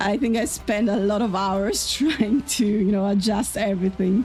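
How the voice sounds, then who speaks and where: With music in the background, a woman of medium pitch speaks at a fairly slow pace with ordinary pitch variation. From Austria. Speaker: sim racing streamer. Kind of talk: live gameplay stream chat. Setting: home streaming setup with headphones. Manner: loud.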